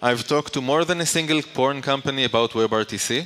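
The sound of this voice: A man talks at a medium pitch with ordinary pitch variation. His tone is bright and sharp.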